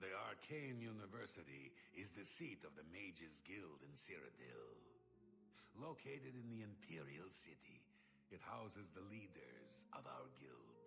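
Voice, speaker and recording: A put-on character voice goes at a moderate pace. Clear background noise sits under it. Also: man, very deep, low pitch for a man. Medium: video game. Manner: formal, officious.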